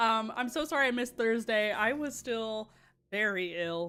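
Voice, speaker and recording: Over music in the background, a raised, projected voice makes very wide pitch swings. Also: woman. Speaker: streamer. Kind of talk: casual chat. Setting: live stream. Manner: casual, filler-heavy.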